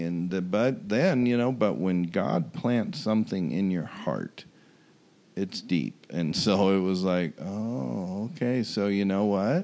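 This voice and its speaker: Speaking fairly slowly, a man uses a very deep, low, dark and mellow voice with lively intonation. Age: 60s. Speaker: former pro baseball pitcher. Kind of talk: interview testimony.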